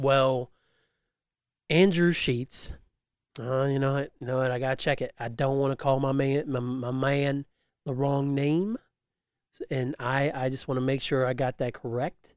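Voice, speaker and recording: The delivery comes at a fairly slow pace. Long, frequent pauses break it up. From West Virginia (moved from Winchester, Virginia in 1992). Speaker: podcast host and streamer. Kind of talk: casual solo monologue. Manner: animated storytelling.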